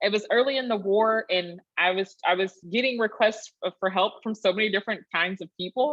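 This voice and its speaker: A woman with a Texan accent speaks at a medium pitch. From rural Texas. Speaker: historian, PhD candidate. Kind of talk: Q&A after academic talk.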